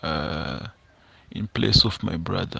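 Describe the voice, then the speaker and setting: A man with a Zimbabwean accent speaks with lively intonation at a very deep, low pitch. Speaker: confession sender, construction worker. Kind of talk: first-person confession. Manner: halting, many repetitions and fillers.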